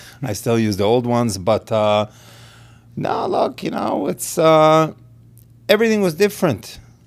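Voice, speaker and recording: A man with an Israeli accent, at a moderate pace, with very wide pitch swings and long, frequent pauses. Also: medium pitch for a man. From Israel, then Los Angeles from age 13. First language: Hebrew. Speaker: realtor and pitmaster. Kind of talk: casual interview.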